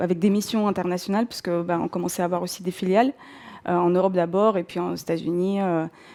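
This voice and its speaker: A woman in a Russian accent, medium-pitched with a dark, mellow tone and fairly even intonation, on a very clean recording with a silent background. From southern Russia, North Caucasus. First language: Russian (speaking French). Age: 40s. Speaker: career changer, bookshop owner. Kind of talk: personal testimony. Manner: hesitant, many fillers.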